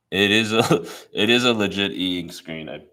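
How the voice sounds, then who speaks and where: The speaker is a man with a bright, sharp tone. His pitch variation is ordinary. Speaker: product presenter. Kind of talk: live product demo and Q&A. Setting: livestream. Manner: casual, with fillers and self-corrections.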